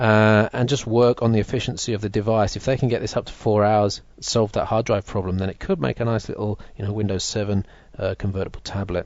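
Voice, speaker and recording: This man has a plain, everyday voice with a fairly low pitch. He speaks at a fairly quick pace with fairly even intonation and hardly any pauses. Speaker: tech video host. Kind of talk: live stream product demo. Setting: live stream with chat.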